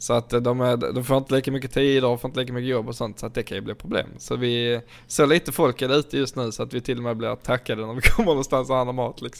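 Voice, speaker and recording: The man's pitch is medium. He speaks at a very fast pace with hardly any pauses. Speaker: podcast host. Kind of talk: casual chat. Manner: animated.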